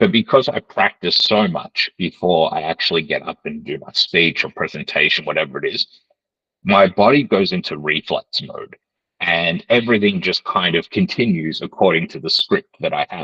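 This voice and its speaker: At a moderate pace, a man speaks with big swings in loudness in a dry, close sound with no echo. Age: 30s. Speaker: job-readiness trainer. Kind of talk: online training lecture.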